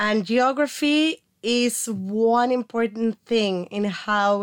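A woman speaks very slowly with a Mexican accent. The recording is very clean, with a silent background. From Mexico. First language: Spanish. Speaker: archaeology graduate student. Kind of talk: casual interview. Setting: studio.

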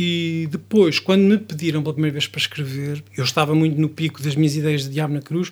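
The voice is an unremarkable speaking voice with fairly even intonation. It runs on with hardly any pauses. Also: man, fairly high pitch for a man. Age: 40s. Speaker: songwriter and musician. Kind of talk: interview.

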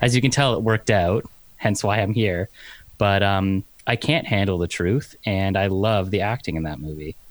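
This man speaks at a moderate pace with a fairly low pitch. His pitch varies in an ordinary way. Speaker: articling law graduate, podcaster. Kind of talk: casual chat. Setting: video call.

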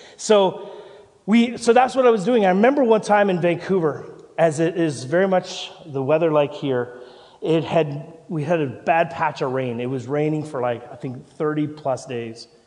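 Amid noticeable background noise and audible room echo, a man with a fairly high pitch talks at a moderate pace with lively intonation. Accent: Canadian. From Canada. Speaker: pastor. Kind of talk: sermon. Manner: halting.

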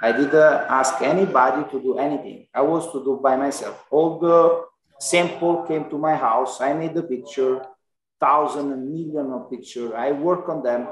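In an Italian accent, a man with a fairly high pitch speaks at a moderate pace with ordinary pitch variation. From Italy. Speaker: Amazon seller and entrepreneur. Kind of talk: casual interview conversation.

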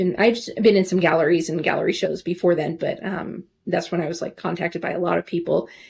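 Somewhat breathy and in a General American accent, the speaker talks at a very fast pace. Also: woman. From Alaska, Anchorage. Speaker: portrait painter. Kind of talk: casual interview.

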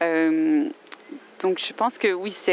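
A woman speaks in an English accent at medium pitch with lively intonation. The sound is dry and close with no echo, though there is noticeable background noise. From Australia. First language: English (speaking French). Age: 20s. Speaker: composer and language learner. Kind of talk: interview. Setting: outdoors in a park. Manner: halting.

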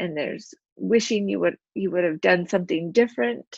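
In an American accent, a woman with a normal speaking voice and fairly low pitch talks at a moderate pace with lively intonation, the sound dry and close with no echo over a quiet background. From Utah. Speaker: craft business owner and suicide prevention advocate. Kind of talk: personal testimony interview.

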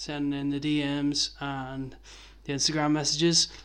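In a Belfast accent, a man with a fairly high pitch talks at a moderate pace. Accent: Belfast Northern Irish. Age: 30s. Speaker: skateboarding podcast host. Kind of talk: casual chat.

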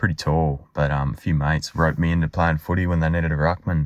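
A very fast-talking man with an Australian accent and a very deep, low pitch. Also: very clean recording, silent background. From Western Australia (Albany). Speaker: listener sharing a fan story. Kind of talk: recorded voice memo.

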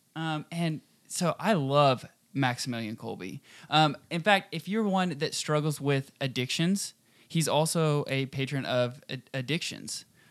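An American-accented man with an ordinary speaking voice, fairly high pitch, ordinary pitch variation and a fairly slow pace, on a very clean recording with a silent background. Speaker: radio host.

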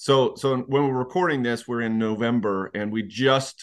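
In a normal speaking voice, a man talks at a medium pitch and moderate pace. His pitch variation is ordinary, and the background is quiet. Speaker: podcast host. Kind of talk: casual interview conversation.

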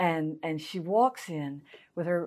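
A woman talks at a fairly slow pace in a Southern US accent. The recording is very clean, with a silent background. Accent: Southern US (Georgia). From US South, Augusta, Georgia. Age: 50s. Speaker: pastor. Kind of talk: interview.

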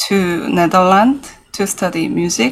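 A woman speaks with a Korean accent. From South Korea, Seoul. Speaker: jazz pianist and composer. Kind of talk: interview.

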